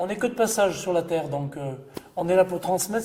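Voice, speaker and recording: Over music in the background, a man with a high pitch talks at a moderate pace with lively intonation. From Ardèche, France. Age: 60s. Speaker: photographer. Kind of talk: reminiscing interview monologue. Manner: hesitant.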